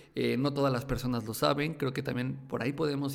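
A man's medium-pitched voice with vocal fry and fairly even intonation. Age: 20s. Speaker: YouTube tech content creator. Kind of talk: casual interview chat. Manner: halting, many fillers and repetitions.

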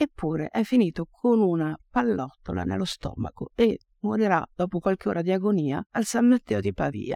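A woman's fairly low voice with a dark, mellow tone, very wide pitch swings, a moderate pace, and a dry, close sound with no echo. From Oltrepò Pavese, Lombardy, Italy. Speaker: anthology editor and writer. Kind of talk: reading aloud. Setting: stage with audience.

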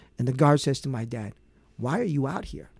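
A man has an unremarkable speaking voice at medium pitch. He talks at a fairly quick pace in a dry, close sound with no echo. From Vietnam, raised in US. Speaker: prosecutor, political candidate. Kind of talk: interview.

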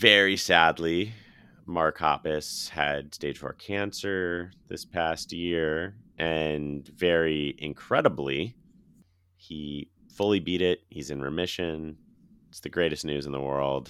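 The voice has a bright, sharp tone and an American accent. It moves at a very slow pace with fairly even intonation. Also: man, very deep, low pitch for a man. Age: 30s. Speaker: podcast host. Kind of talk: casual chat. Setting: remote recording.

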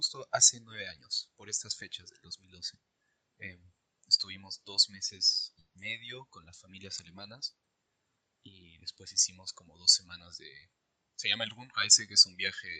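The sound is dry and close, with no echo. A man speaks at a moderate pace, his loudness swinging widely. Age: 20s. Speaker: podcast co-host, engineering student. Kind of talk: casual chat.

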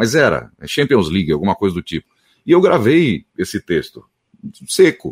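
With vocal fry and very wide pitch swings, a man speaks at a moderate pace in a dry, close sound with no echo. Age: 30s. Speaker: radio announcer and voice-over artist. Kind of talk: interview.

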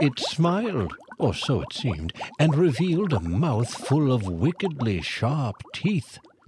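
A man at a very slow pace with very wide pitch swings, amid noticeable background noise. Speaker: audiobook narrator. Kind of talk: children's fantasy audiobook narration, scripted reading with character voices. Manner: animated storyteller, warm and expressive, with playful character voices.

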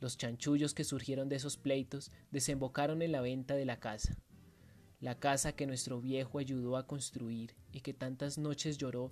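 The talking proceeds at a moderate speed. Behind it, music can be heard. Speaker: writing workshop instructor. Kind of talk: dramatic first-person narration of a short story, read aloud with a guide intro. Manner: vivid, theatrical storytelling, tense and menacing.

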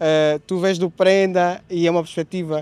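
A man's high voice in a dry, close sound with no echo. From Angola, Luanda. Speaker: photographer. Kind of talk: casual interview.

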